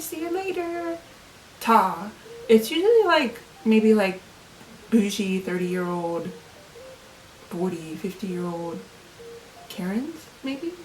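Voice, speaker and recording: Against noticeable background noise, a woman at medium pitch talks at a fairly slow pace, her pitch swinging very widely, with long, frequent pauses. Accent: American. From Ohio, USA. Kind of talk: casual talk to camera.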